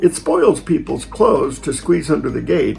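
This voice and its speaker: Music plays in the background as a man speaks. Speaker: storyteller grandfather. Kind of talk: reading aloud.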